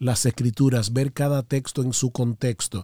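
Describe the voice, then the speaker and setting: The voice has a dark, mellow tone and fairly even intonation at a moderate pace. The sound is dry and close, with no echo. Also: man. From Dominican Republic. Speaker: pastor. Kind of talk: interview.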